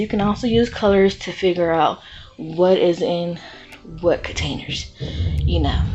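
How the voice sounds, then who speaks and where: There is noticeable background noise. The speech keeps a moderate pace. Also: woman. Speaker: YouTuber, home DIY and haul vlogger. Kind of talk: casual vlog haul review. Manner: animated.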